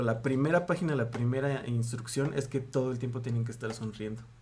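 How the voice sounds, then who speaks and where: A man speaks in a Mexican accent at a medium pitch. His intonation is fairly even, and audible room echo surrounds him. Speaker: podcast co-host. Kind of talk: casual chat.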